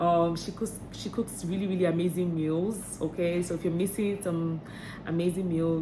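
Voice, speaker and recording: In a fairly low pitch, a woman speaks in a flat monotone, her voice somewhat breathy with a dark, mellow tone. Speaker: vlogger. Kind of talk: vlog tips talk. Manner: fast; hesitant, many fillers.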